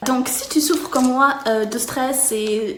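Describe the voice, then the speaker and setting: Over noticeable background noise and audible room echo, a woman speaks at a high pitch with ordinary pitch variation. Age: 30s. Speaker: customer giving product review. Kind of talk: testimonial product review. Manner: hesitant, many fillers.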